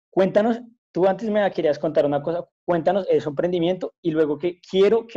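In a dry, close sound with no echo, a man with a plain, everyday voice speaks with ordinary pitch variation. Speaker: podcast co-host. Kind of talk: casual chat.

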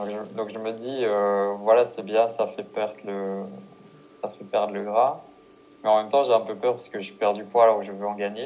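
A man speaks at a moderate pace with a fairly low pitch and fairly even intonation, leaving long, frequent pauses. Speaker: podcast host. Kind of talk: casual interview. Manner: halting, repeats words. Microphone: poor sound quality on his parts.

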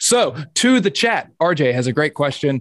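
A man talks with lively intonation. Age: 30s. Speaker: podcast host. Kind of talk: casual chat.

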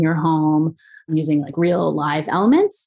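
A woman with an American accent has a plain, everyday voice at fairly low pitch. She speaks fairly slowly with ordinary pitch variation. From US Northeast, suburbs of Philadelphia. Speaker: artist and biophilic designer. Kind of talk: interview conversation.

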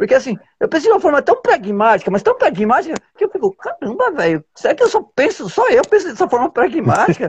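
A man at a fairly quick pace, dry and close with no echo, against a quiet background. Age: 30s. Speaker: activist and political candidate. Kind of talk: casual chat.

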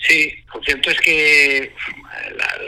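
A man talks over noticeable background noise. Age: 40s. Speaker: rally driver. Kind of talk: phone interview.

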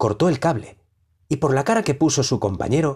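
A man's dark, mellow, somewhat breathy voice carries lively intonation. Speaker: audiobook narrator. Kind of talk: dramatic narration of flash fiction.

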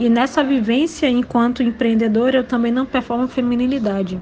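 A woman speaks at a moderate pace in a high voice. Her intonation stays fairly even over noticeable background noise. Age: 20s. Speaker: entrepreneur and educator. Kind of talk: personal testimony.

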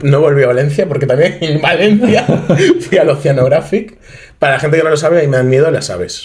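Over noticeable background noise, a man with a Madrid accent speaks at a fairly quick pace in a fairly high pitch with lively intonation. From Madrid, Spain. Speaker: podcast guest, unofficial collaborator. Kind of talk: casual chat.

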